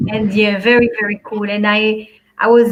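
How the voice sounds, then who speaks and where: With a French accent, a woman speaks at a moderate pace and a fairly high pitch. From Belgium, Antwerp. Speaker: life and business coach. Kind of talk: talk show interview.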